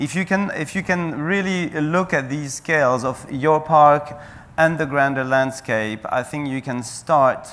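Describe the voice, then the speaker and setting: With a French accent, a man speaks at a fairly slow pace with a fairly high pitch and ordinary pitch variation. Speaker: national parks official. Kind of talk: panel discussion. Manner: halting, many fillers.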